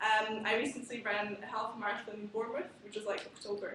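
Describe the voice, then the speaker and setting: A woman with a Slovak accent speaks at a very fast pace and fairly high pitch, with audible room echo and noticeable background noise. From Slovakia. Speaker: student conference chair. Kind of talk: conference speech. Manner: casual, hesitant with many fillers.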